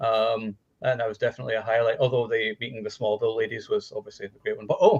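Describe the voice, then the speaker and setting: A man with a Scottish accent at a very fast pace, with big swings in loudness. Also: dry, close sound with no echo. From Scotland. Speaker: movie podcast panelist. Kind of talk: casual chat.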